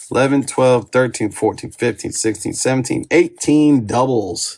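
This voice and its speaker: A man speaks fairly slowly with a somewhat breathy, medium-pitched voice. His intonation is lively. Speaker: card collecting YouTuber. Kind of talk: casual pack-opening commentary. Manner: slurring words today; casual, self-correcting.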